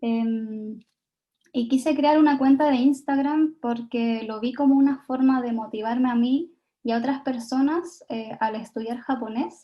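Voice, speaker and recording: A woman with a Chilean accent speaks at a high pitch. She keeps a fairly slow pace and fairly even intonation. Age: 20s. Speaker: Japanese learning content creator, invited speaker. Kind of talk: talk at online event.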